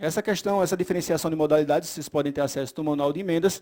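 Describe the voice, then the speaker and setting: A man's high voice with fairly even intonation, on a very clean recording with a silent background. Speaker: legislative budget consultant giving training. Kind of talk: lecture. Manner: fast.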